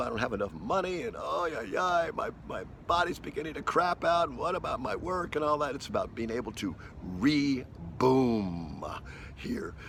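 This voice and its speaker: Using vocal fry, a man talks at a moderate pace with very wide pitch swings. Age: 70s. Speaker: spiritual teacher. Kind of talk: casual monologue to camera. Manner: halting, many fillers.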